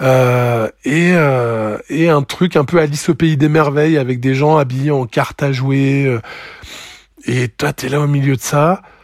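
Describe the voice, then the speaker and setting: At a very slow pace and a fairly high pitch, a man speaks with fairly even intonation. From France, Lozère. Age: 40s. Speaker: former raver. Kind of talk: testimony. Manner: halting.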